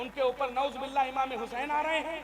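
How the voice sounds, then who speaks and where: A man speaks in an extremely high pitch with monotone, flat intonation. There is noticeable background noise. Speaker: Islamic preacher / religious orator. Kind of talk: Islamic sermon (bayan / takreer) to a live audience. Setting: live gathering with audience responses. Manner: emotional, forceful oratory.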